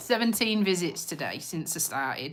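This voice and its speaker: The woman's intonation is lively. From Lincolnshire, England, on the Yorkshire border. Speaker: community nurse and vlogger. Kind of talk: casual live-stream chat.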